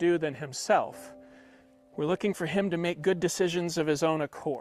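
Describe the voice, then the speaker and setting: Over music in the background, a man with a high voice speaks fairly quickly and with fairly even intonation, the sound dry and close with no echo. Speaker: horse trainer. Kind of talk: live training demonstration. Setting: video call. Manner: fast.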